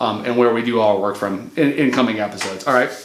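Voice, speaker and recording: Someone with a Midwestern accent speaks at a fairly quick pace with fairly even intonation. Audible room echo and noticeable background noise fill the recording. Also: man. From US Midwest. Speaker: remodeling contractor and channel host. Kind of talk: casual channel intro talk to camera. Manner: casual, with many fillers and restarts.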